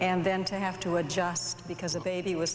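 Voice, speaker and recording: Noticeable background noise runs under a woman speaking at a moderate pace with a fairly low pitch. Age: 50s. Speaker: pastor's wife. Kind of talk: interview.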